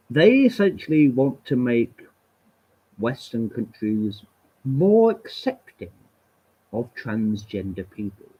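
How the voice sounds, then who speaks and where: In an English accent, a man with a dark, mellow tone speaks at a very slow pace with lively intonation and long, frequent pauses. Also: medium pitch for a man. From England. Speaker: livestreamer. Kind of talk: solo livestream rant. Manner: animated.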